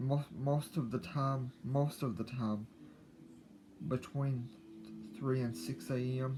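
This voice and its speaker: Somewhat breathy, a man speaks at a very slow pace and medium pitch, with ordinary pitch variation and long, frequent pauses. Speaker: YouTuber. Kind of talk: casual personal talk to camera. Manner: halting, repeats words.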